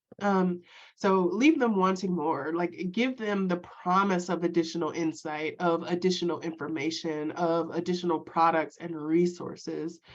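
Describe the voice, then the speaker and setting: With hardly any pauses, a woman speaks at a fairly low pitch. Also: fairly even intonation. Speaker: web consultant for small businesses. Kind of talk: workshop presentation. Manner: fast; filler-heavy casual delivery.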